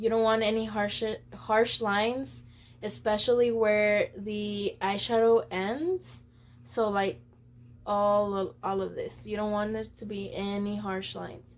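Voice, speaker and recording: Speaking at a fairly slow pace, a woman with an American accent uses a medium pitch and ordinary pitch variation on a very clean recording with a silent background. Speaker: beauty vlogger. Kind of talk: makeup tutorial. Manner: casual, chatty.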